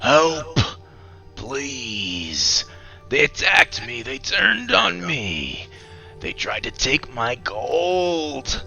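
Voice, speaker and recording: A man puts on a character voice and talks very slowly, with clear music playing behind him. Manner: urgent.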